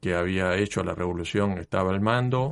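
Against a quiet background in a dry, close sound with no echo, a man with a fairly low pitch speaks at a moderate pace with fairly even intonation in a plain, everyday voice. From Mexico, then Cuba. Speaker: university lecturer and engineer. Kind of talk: interview. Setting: radio studio.

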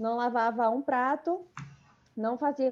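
High-pitched yet dark and mellow in tone, a woman talks at a moderate pace. The background is quiet. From Bahia interior, Brazil (Riachão). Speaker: medical student. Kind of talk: interview.

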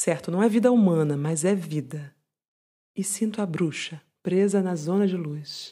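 In a Brazilian accent, a woman speaks at medium pitch with a warm, soothing, dark and mellow tone on a very clean recording with a silent background. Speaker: podcast host and poem reader. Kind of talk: poetry reading aloud, intimate and contemplative, in a hushed bedtime-tea tone. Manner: slow, soft-spoken, measured, with lingering pauses and tender, melancholic emphasis; warm, soothing and confiding, like a calming companion.

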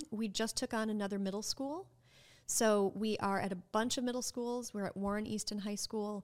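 A woman with an American accent speaks at a moderate pace in an ordinary speaking voice, her fairly high pitch held in fairly even intonation, on a very clean recording with a silent background. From Minnesota. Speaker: nonprofit executive director. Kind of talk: casual interview.

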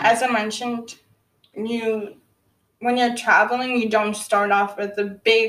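Fairly slow and monotone with flat intonation, a woman speaks at a fairly high pitch. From Botswana / southern Africa, moved to Canada at about 10. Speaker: podcast host and musician. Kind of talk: casual solo monologue.

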